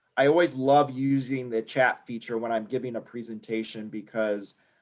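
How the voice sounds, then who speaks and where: A man speaks in an ordinary speaking voice. His pace is moderate and his intonation fairly even. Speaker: membership and education director presenting a workshop. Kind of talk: online workshop presentation.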